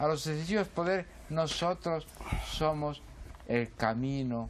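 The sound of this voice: This man talks at a fairly slow pace in a fairly high pitch, with ordinary pitch variation.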